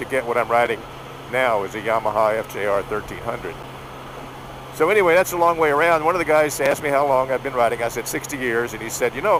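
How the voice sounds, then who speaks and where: Talking at a very fast pace, a man uses lively intonation at a medium pitch. Noticeable background noise runs behind him. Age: 70s. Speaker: motorcycle vlogger. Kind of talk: casual talk to camera while riding. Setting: outdoors.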